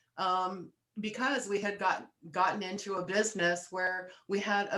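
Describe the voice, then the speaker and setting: At a moderate pace, a woman with an ordinary speaking voice talks with fairly even intonation. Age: 60s. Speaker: wellness coach. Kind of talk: casual chat.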